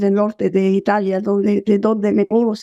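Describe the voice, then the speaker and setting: A woman's dark, mellow tone comes through a dry, close sound with no echo as she speaks at a fairly slow pace. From southern Brazil, Caxias do Sul. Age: 80s+. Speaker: sociologist and author. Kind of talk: interview.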